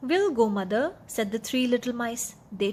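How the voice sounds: Simply a natural reading voice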